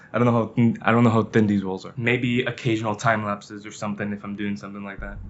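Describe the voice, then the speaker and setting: Noticeable background noise sits behind a man talking at a very fast pace with a fairly low pitch. His intonation is monotone and flat, and his loudness swings widely. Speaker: vlogger. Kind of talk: casual talk to camera. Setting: hotel room.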